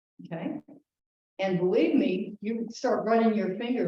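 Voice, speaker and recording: A woman with an American accent and medium pitch talks at a fairly slow pace with lively intonation, with audible room echo around her. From northern US. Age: 70s. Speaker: consumer advocate. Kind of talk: informal talk. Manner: animated.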